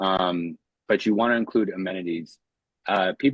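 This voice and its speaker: A man speaks with ordinary pitch variation. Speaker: short-term rental coach. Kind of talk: live webinar Q&A. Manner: fast; casual.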